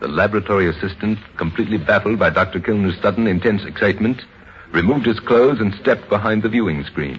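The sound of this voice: Talking fast, a man with a fairly low pitch shows ordinary pitch variation.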